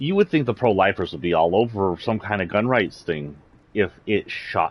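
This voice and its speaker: With a slight Southern US accent, a man speaks at a fairly low pitch with lively intonation. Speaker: streamer. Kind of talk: livestream rant; casual chat. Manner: animated.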